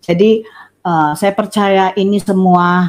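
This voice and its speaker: The woman here speaks at a very slow pace. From Surabaya, East Java, Indonesia. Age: 60s. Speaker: religious convert. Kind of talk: testimony. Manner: halting, many fillers. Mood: warm, smiling.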